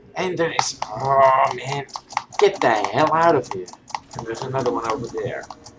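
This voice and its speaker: Over noticeable background noise, a man speaks at a moderate pace and medium pitch, with lively intonation and big swings in loudness. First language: Dutch. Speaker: gaming youtuber. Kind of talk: gameplay commentary. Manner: animated.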